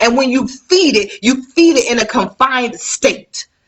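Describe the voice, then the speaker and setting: This woman's voice is high in pitch. Her tone is animated. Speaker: life coach. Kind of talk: motivational live talk.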